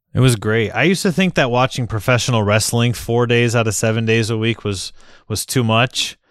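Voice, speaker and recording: At a fairly quick pace, a man with an American accent talks at medium pitch with ordinary pitch variation, in a very clean recording with a silent background. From Michigan. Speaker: football podcast host. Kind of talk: casual chat. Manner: animated.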